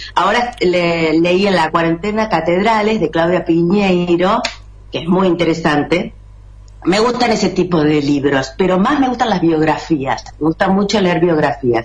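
A woman with a Rosario accent, fairly low-pitched, at a fairly slow pace, with very even loudness, ordinary pitch variation and noticeable background noise. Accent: Rioplatense Spanish, Rosario. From Argentina. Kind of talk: casual chat. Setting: video call from home.

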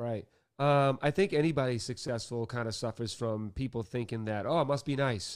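The recording is very clean, with a silent background. A man with a Boston accent talks at a moderate pace with ordinary pitch variation. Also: medium pitch for a man. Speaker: author and music industry DJ. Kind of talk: casual interview chat.

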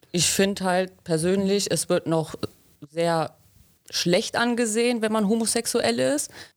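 The voice is an unremarkable speaking voice, moving at a fairly slow pace with lively intonation. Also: woman, medium pitch for a woman. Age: 20s. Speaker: trainee pipe fitter. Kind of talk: interview.

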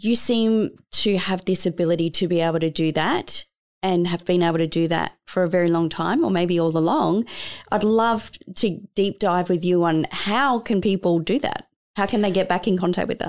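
A woman with an Australian accent speaks at a medium pitch with ordinary pitch variation, on a very clean recording with a silent background. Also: moderate pace, very even loudness. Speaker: podcast co-host. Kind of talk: casual interview.

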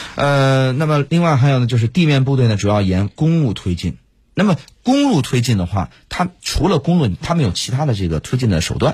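On a very clean recording with a silent background, a somewhat breathy man talks at a fairly quick pace with very wide pitch swings. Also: medium pitch for a man. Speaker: radio host and military commentator. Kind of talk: casual analytical discussion. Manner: hesitant, many fillers.

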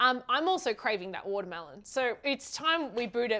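A woman speaks in a high, bright and sharp voice. Her tone is animated and her intonation lively. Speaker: podcast co-host. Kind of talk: casual interview.

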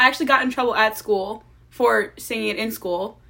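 In a Long Island accent, a woman uses a raised, projected voice with a bright, sharp tone and lively intonation. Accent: New York (Long Island). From Long Island, New York. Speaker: college student. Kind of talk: casual chat.

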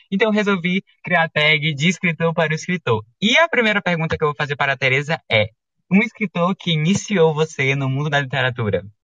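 A man with a fairly high pitch and lively intonation speaks in a plain, everyday voice. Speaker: podcast host. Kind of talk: casual interview chat. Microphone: microphone problem, audio sounds odd.

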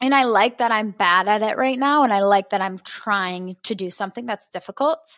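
A woman talks at a fairly quick pace in a plain, everyday voice, with a fairly high pitch and ordinary pitch variation. The recording is very clean, with a silent background. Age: 20s. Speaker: personal trainer, podcast host. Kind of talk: casual chat.

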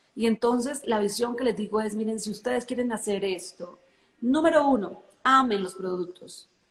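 A woman's somewhat breathy voice, fairly high in pitch, at a moderate pace with ordinary pitch variation. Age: 40s. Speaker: network marketing leader. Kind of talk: interview.

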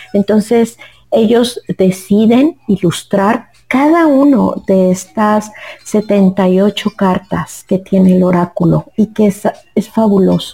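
Very slow speech from a woman at a medium pitch, with ordinary pitch variation and a dry, close sound free of echo. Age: 50s. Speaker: oracle card reader and therapist. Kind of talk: interview. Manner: halting.

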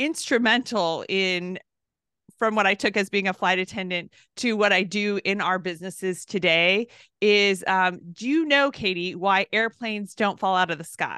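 A woman's medium-pitched voice with a bright, sharp tone against a quiet background. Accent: American. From Southern California. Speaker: entrepreneur and business coach. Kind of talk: interview.

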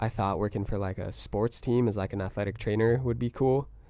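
With an American accent, a man speaks in a normal speaking voice with fairly low pitch and ordinary pitch variation. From US West Coast, Oxnard, California. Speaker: music producer. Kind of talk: casual chat.

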